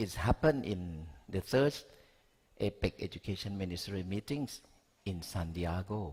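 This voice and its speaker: Somewhat breathy and fairly low in pitch, a man with a Thai accent speaks at a fairly slow pace. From Thailand. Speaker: education researcher. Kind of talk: conference talk. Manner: halting.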